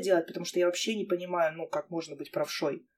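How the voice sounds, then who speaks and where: A woman speaks at a very fast pace. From Armavir, Krasnodar region, Russia. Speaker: podcast host. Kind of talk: casual chat. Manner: animated, informal.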